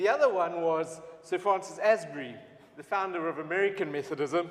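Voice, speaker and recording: His pitch varies in an ordinary way. The man's voice sits high. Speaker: Methodist preacher and event presenter. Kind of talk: event welcome address. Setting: church livestream.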